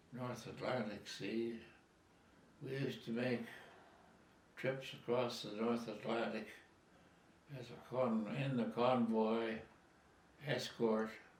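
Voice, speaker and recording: Very slow speech with long, frequent pauses and monotone, flat intonation comes through noticeable background noise. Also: man, medium pitch for a man. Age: 80s+. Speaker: war veteran. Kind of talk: interview answer.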